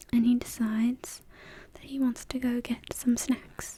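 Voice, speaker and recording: The speaker is soft-spoken and talks at a very slow pace over noticeable background noise. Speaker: language tutor. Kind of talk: soft-spoken ASMR language lesson.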